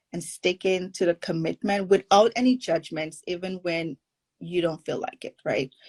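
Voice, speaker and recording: A woman speaks in a Caribbean accent. Her voice sounds dry and close, with no echo. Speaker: forgiveness coach. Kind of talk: podcast interview.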